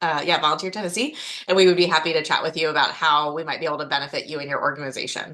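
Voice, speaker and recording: This woman has a fairly low pitch. Her pitch varies in an ordinary way. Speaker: state service program manager. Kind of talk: presentation. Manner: fast when excited.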